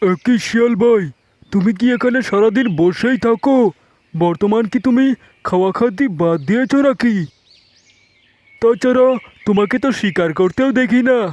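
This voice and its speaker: A man uses a cartoonish character voice pitched extremely high. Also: moderate pace. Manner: naive, simple.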